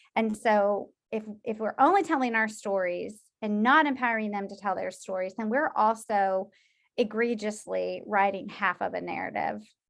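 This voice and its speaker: Against a quiet background, a woman with a normal speaking voice talks at a moderate pace, her fairly high pitch showing ordinary variation. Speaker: social work professor. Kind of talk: lecture.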